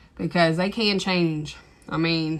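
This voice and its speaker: Over noticeable background noise, a woman with an East Texas accent speaks at a very slow pace. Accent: thick East Texas. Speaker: TikTok live streamer. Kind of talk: casual chat. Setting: livestream. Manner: rambling, hesitant with fillers.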